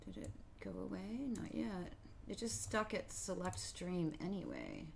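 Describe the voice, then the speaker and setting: Room echo can be heard as a woman talks fairly slowly. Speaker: mixed-media artist streaming. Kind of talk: casual live stream chat. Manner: loud; chatty, meandering with fillers.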